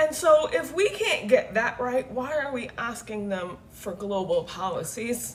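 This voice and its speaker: Amid noticeable background noise, a woman talks loudly at a high pitch with hardly any pauses, her animated tone swinging very widely in pitch. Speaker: livestreamer. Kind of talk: casual rant on livestream. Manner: animated, loud.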